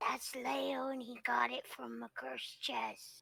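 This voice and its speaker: A raspy, put-on character voice, female-sounding, at a fairly slow pace. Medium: actual play. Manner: simple, friendly.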